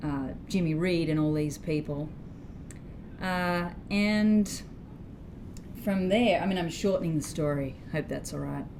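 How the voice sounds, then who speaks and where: A woman with an Australian accent and a fairly low pitch speaks at a fairly slow pace, with ordinary pitch variation, long, frequent pauses and audible room echo. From Australia, Sydney. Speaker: blues guitarist and singer-songwriter. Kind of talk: interview.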